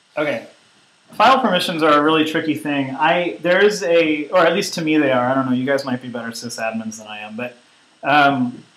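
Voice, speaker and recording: Over noticeable background noise, the speech has lively intonation and big swings in loudness. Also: man, fairly high pitch for a man. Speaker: online course instructor. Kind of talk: tutorial. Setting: conference call with screen sharing. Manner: hesitant, many fillers.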